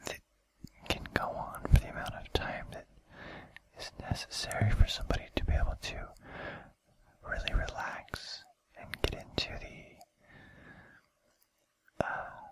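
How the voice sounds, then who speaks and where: A man is speaking. He whispers. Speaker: ASMR video creator. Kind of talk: casual talk to camera. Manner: whispered.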